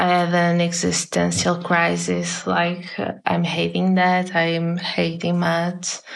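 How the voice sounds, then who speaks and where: Speaking very slowly, a woman has a Portuguese accent. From northern Portugal, near Porto. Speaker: illustrator. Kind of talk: casual interview. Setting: video call.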